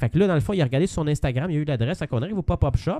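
A man with a Quebec accent speaks very fast in a dark, mellow tone, recorded very cleanly with a silent background and a dry, close sound with no echo. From Quebec, Saint-Jean-sur-Richelieu. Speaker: podcast co-host. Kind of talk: casual chat.

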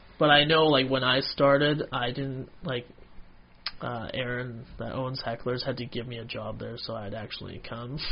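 Loudness swings widely as a man speaks at medium pitch and a moderate pace. His intonation is fairly even, with noticeable background noise. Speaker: stand-up comedian. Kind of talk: casual chat.

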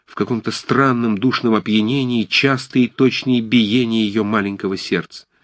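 The voice is a natural reading voice. Its intonation is fairly even.

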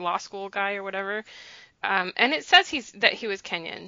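A woman with an American accent speaks in a normal speaking voice. Her pitch is medium and her pace moderate. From United States. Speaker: podcast host. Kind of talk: casual chat.

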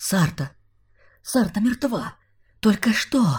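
This is a put-on character voice with a fairly high pitch. It moves at a fairly slow pace. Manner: hissing.

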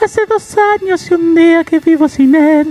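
Over faint music in the background, someone does a put-on character voice at an extremely high pitch and a moderate pace.

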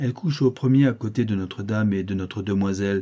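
A natural reading voice carries ordinary pitch variation.

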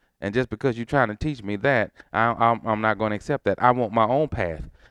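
Against a quiet background, a man with an American accent talks very fast in a dry, close sound without echo. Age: 50s. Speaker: pastor. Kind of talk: sermon. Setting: church.

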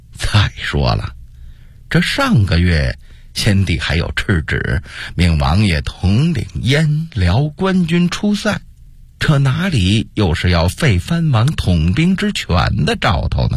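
Putting on a character voice, a man talks slowly at a fairly low pitch with very wide pitch swings.

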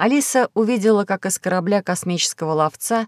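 This is plain reading aloud. Nothing more is measured.

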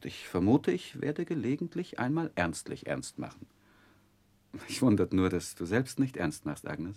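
A man's put-on character voice with vocal fry, fairly low pitch, big pitch swings, a slightly husky edge, a slightly mellow tone and a moderate pace

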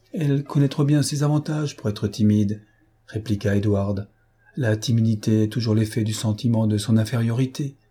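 The delivery is a natural reading voice. Pitch moves up and down in an ordinary way.

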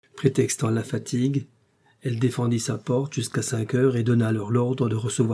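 Intonation here is fairly even. The delivery is a natural reading voice.

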